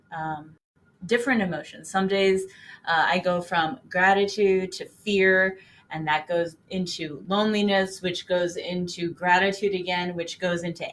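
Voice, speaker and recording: A woman talks in an unremarkable speaking voice at a medium pitch. Her pace is moderate and her intonation fairly even. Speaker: meditation guide. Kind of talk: guided meditation. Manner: casual, conversational, with frequent filler pauses.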